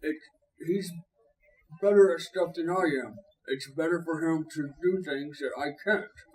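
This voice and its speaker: In a put-on character voice, a man talks at a high pitch and a moderate pace, leaving long, frequent pauses. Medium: actual play. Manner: halting, simple.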